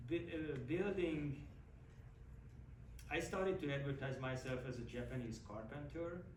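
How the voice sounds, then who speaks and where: With noticeable background noise and audible room echo, a man talks at a moderate pace, leaving long, frequent pauses. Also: fairly high pitch for a man, ordinary pitch variation. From Hungary. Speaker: woodworker. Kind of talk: casual talk to audience.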